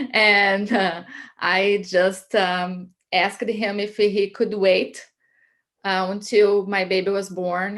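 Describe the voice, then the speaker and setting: A woman speaks with a Brazilian Portuguese accent. Her intonation is monotone and flat, over a quiet background. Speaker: immigrant sharing her life story. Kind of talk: personal testimony. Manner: hesitant, many fillers.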